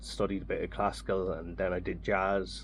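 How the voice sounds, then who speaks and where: At a moderate pace, a man speaks in an Irish accent. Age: 30s. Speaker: jazz saxophonist. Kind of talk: radio interview. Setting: radio studio.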